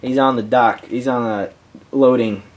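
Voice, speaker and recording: A man's voice amid noticeable background noise. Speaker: YouTuber reviewing his movie collection. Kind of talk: casual collection review. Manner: halting, many fillers and restarts; got quiet at times.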